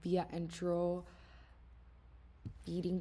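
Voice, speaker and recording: A woman with a non-native accent speaks at a very slow pace in a very clean recording with a silent background. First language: not English. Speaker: student. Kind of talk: class presentation. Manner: halting.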